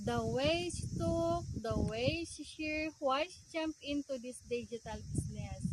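High, fairly slow speech from a woman, noticeable background noise behind it. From Davao, Mindanao, Philippines. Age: 40s. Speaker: vlogger and digital marketing seller. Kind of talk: personal testimony vlog.

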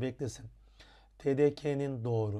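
At a fairly slow pace, a man of medium pitch speaks with a dark, mellow tone and ordinary pitch variation. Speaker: Turkish language teacher. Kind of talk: tutorial. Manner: frequent hesitations with filler sounds.

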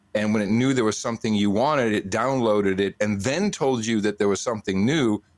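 In a dry recording with no echo, a man with a fairly low voice speaks at a moderate pace with ordinary pitch variation. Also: quiet background. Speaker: podcast guest. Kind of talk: interview answer. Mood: relaxed storytelling. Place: studio. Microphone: studio mic.

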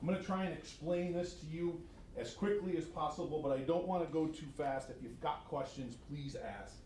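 In a room with audible echo, a man with an American accent speaks at a fairly high pitch. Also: ordinary pitch variation. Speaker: regional education administrator presenting to school board. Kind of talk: formal presentation at board meeting. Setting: school board meeting room. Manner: fast; animated.

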